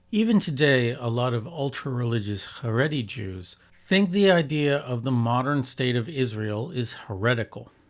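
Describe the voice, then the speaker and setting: Lively intonation from a man, with noticeable background noise. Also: medium pitch for a man, moderate pace. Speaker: video essayist. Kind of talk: video essay narration.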